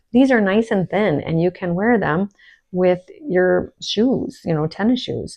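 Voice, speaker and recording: With a plain, everyday voice, a woman speaks at a medium pitch and a fairly slow pace, with lively intonation. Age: 60s. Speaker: skin care and wellness vlogger. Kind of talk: casual chat.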